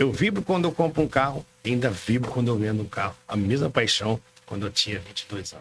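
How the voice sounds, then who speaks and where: This man has an unremarkable speaking voice, medium in pitch, moving at a fairly quick pace. His intonation is lively, and his loudness swings widely. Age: 60s. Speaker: car dealership owner. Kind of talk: podcast interview.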